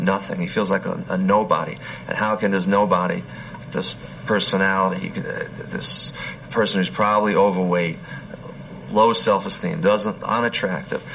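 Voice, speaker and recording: The pace is moderate, with long, frequent pauses. Noticeable background noise runs throughout. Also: man, fairly low pitch for a man. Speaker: FBI profiler or lab official. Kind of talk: interview recounting. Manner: hesitant, repeats words.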